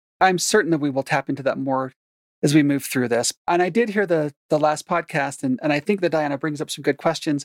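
At a fairly quick pace, a woman with a very deep, low voice and ordinary pitch variation is heard on a very clean, dry, close recording with a silent background and no echo. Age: 50s. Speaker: therapist. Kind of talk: interview about faith, trauma and therapy.

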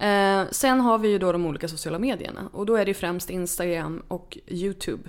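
Using a normal speaking voice, a woman talks at medium pitch and a moderate pace with hardly any pauses. Her pitch variation is ordinary. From northern Sweden, Örnsköldsvik. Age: 30s. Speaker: author. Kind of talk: interview.

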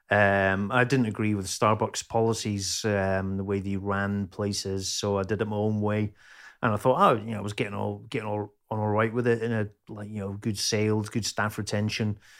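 A man with a Scottish accent speaks at a fairly low pitch and a moderate pace, in monotone, flat intonation. The recording is very clean with a silent background. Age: 50s. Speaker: chef and metal musician. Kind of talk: casual chat. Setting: at home, cooking dinner during recording.

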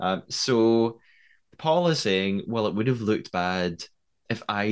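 A man with a fairly low pitch speaks at a fairly slow pace. It's a plain, everyday voice with ordinary pitch variation. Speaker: podcast host, TV development writer. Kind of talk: casual episode recap and discussion.

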